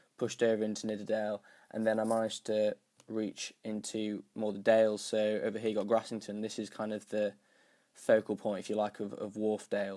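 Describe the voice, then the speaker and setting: A man with a slight northern English accent speaks at a fairly quick pace, his fairly low voice dark and mellow in a monotone, flat delivery. The recording is very clean, with a silent background. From northern England, North Yorkshire. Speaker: YouTuber and cyclist. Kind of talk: casual vlog explainer. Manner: hesitant, many fillers.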